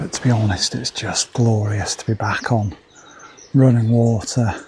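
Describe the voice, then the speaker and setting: A man speaks quietly with fairly even intonation over noticeable background noise. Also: medium pitch for a man, moderate pace. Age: 50s. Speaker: angling video presenter. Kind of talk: outdoor vlog narration. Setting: outdoors on a riverbank. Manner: quiet, keeping voice down.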